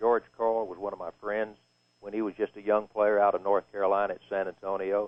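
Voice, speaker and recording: A man talks with a Texan accent. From East Texas. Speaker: retired sportscaster. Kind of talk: live halftime radio interview.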